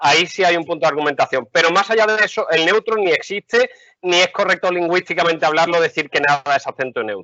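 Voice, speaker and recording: Speaking at a very fast pace in an animated tone, the voice has an Andalusian accent and ordinary pitch variation. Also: man, high pitch for a man. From Andalusia, Seville. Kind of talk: casual chat.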